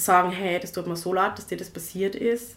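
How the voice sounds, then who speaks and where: Audible room echo surrounds a woman speaking fairly slowly at a medium pitch. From Tyrol, Austria (rural village). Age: 20s. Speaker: activist, co-founder of a feminist initiative. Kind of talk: podcast interview.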